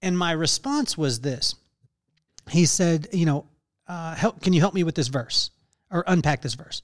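Recorded with a dry, close sound and no echo, the speaker goes at a fairly slow pace with ordinary pitch variation. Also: man. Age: 40s. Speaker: podcast host. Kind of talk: casual interview chat. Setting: call. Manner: animated.

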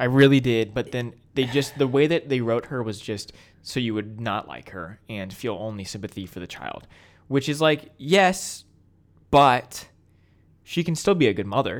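A man's ordinary speaking voice at medium pitch, with lively intonation, a moderate pace, and a very clean recording over a silent background. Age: 20s. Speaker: podcast co-host. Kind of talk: casual chat.

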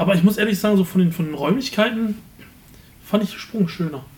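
A man speaks at a moderate pace. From Germany, Remscheid. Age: 20s. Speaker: podcast co-host, advertising agency owner. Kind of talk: casual chat.

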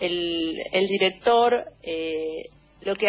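A woman's voice with ordinary pitch variation. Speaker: cultural commentator. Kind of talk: casual chat.

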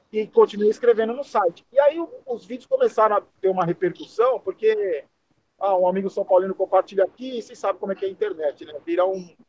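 Talking very fast, a man uses a high pitch, lively intonation and big swings in loudness. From Brazil, São Paulo. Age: 50s. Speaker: football YouTuber. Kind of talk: casual chat.

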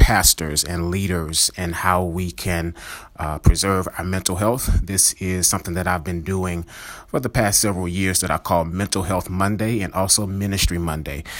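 In a very clean recording with a silent background, a man speaks at a moderate pace with a very deep, low pitch and fairly even intonation. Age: 30s. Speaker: pastor and therapist podcast host. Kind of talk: solo podcast teaching monologue. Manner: hesitant, many filler words.

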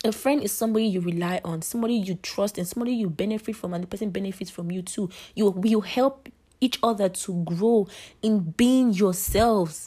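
Over a very clean recording with a silent background, a woman speaks at a fairly quick pace. Her medium pitch shows ordinary variation, and her tone is dark, mellow and somewhat breathy. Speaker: podcast host. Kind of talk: casual monologue.

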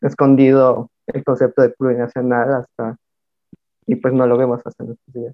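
The man talks at a fairly slow pace and medium pitch, in a monotone with flat intonation. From Mixtec community, coast of Oaxaca, Mexico. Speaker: artist collective member. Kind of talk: casual discussion.

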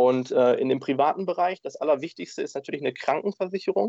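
This man talks at a very fast pace. The sound is dry and close, with no echo. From Germany, Dortmund, Ruhr area. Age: 20s. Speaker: insurance agent. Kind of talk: interview.

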